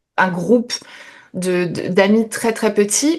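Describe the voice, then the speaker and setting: At a very slow pace, a woman speaks at a medium pitch against a quiet background. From France, French Ardennes. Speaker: YouTuber. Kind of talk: interview. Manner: hesitant, many fillers.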